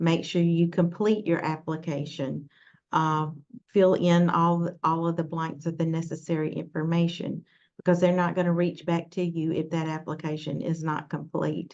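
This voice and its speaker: A woman's fairly low voice with a Southern US accent and monotone, flat intonation. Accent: southern drawl. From US South, Mississippi. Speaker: nursing workforce leader. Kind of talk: webinar talk. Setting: online webinar. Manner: halting, many fillers.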